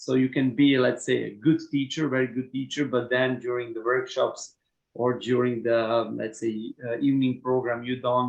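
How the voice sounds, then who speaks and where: The speaker has a Slavic accent and a monotone, flat intonation. The pace is moderate. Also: man, medium pitch for a man. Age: 30s. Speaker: HR manager. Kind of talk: Q&A session. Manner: halting.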